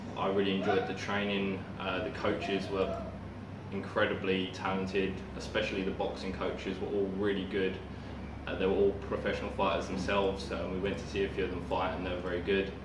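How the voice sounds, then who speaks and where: A man's very deep, low pitch amid noticeable background noise. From Essex, England. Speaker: martial arts camp guest. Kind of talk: testimonial talk to camera. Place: gym. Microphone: camera far.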